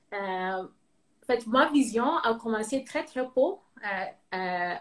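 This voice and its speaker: Speaking very slowly with a Ghanaian accent, a woman uses a fairly high pitch and lively intonation. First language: English (speaking French). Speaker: cosmetics entrepreneur, engineer. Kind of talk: interview. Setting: live video call. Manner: halting, many fillers.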